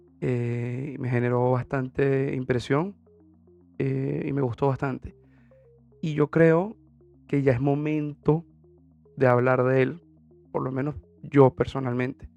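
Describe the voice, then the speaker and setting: A man speaks at a medium pitch with fairly even intonation and a very slow pace, leaving long, frequent pauses over music in the background. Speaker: podcast host. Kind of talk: solo podcast monologue. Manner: hesitant with many fillers.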